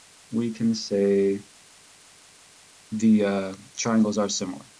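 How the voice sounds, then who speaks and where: The man's delivery is fairly slow. Noticeable noise sits in the background. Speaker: math teacher. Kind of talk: lesson recap video for students.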